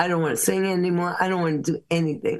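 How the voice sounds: A woman talks fast in a fairly low voice. Her intonation stays fairly even.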